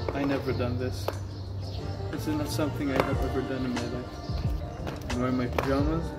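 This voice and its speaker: A fairly quick pace over loud music in the background. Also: man. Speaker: vlogger. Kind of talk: casual vlog chat. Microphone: camera far.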